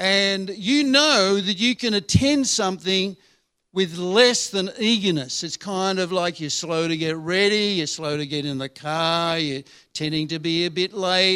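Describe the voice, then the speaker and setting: High-pitched male voice with an Australian accent, bright, sharp tone, ordinary pitch variation and fairly slow pace on a very clean recording with a silent background. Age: 70s. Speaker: retired pastor, visiting preacher. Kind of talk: sermon. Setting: church service.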